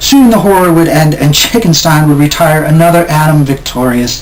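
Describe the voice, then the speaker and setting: A man talks with a high pitch and lively intonation at a moderate pace, noticeable background noise running underneath. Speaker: poet. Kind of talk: poetry reading.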